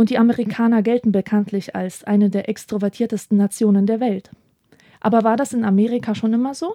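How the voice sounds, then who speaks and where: A woman talks at a fairly quick pace with a fairly high pitch and a dark, mellow tone. Her intonation is fairly even, and the sound is dry and close with no echo. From Poland, moved to Germany at age eight. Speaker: book podcast host. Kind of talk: scripted narration.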